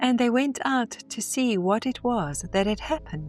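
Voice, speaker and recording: Music plays behind a woman with a fairly high pitch. She speaks at a fairly slow pace. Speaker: narrator. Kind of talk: scripture reading. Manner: reverent.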